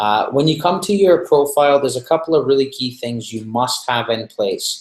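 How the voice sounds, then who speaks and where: In a plain, everyday voice, a man speaks at a fairly high pitch with ordinary pitch variation. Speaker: online marketing trainer. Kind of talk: live webinar training.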